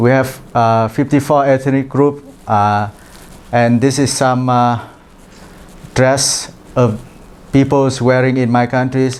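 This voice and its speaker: A man with a Vietnamese accent speaks at a medium pitch and a very slow pace, using monotone, flat intonation, very even loudness and long, frequent pauses. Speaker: international trainee presenter. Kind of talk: presentation. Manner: halting, many fillers.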